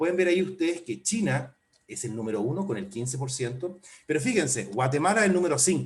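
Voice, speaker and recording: Talking at a very fast pace, a man with a fairly high pitch and vocal fry swings his pitch very widely. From Chile. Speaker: port official. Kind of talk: webinar presentation.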